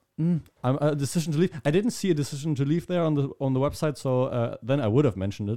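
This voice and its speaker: Talking very fast with hardly any pauses, a man with a German accent has a fairly high pitch, ordinary pitch variation and a dark, mellow tone. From Germany. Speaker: podcast host. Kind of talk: casual chat.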